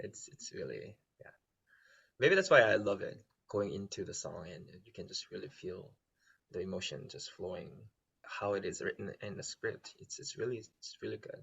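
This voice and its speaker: A man talks at a moderate pace, pausing long and often. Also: big swings in loudness. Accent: Korean. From South Korea. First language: Korean. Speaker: musical theater performer. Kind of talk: casual chat. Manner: halting.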